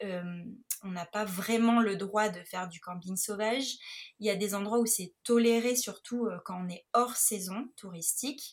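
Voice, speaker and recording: A woman speaks at a fairly slow pace with a medium pitch and ordinary pitch variation. Her loudness swings widely. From Nice, southern France. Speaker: photographer and travel blogger. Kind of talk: interview, personal travel account. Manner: hesitant, with many fillers.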